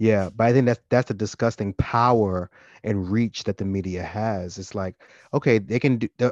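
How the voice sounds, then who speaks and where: Against a quiet background, a man with an unremarkable speaking voice talks at a fairly quick pace and fairly low pitch, with fairly even intonation and a dry, close sound with no echo. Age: 30s. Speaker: podcast co-host. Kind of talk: casual chat.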